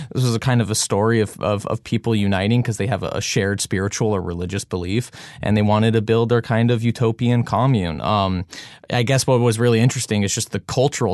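A man's fairly low, normal speaking voice at a fairly quick pace, fairly even in intonation, against a quiet background. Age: 20s. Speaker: documentary director. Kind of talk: interview.

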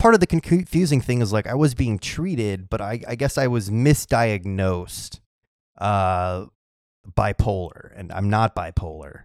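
In a plain, everyday voice with lively intonation, the speaker goes at a fairly slow pace, the sound dry and close with no echo. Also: man, fairly low pitch for a man, very clean recording, silent background. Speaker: podcast host. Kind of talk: casual chat.

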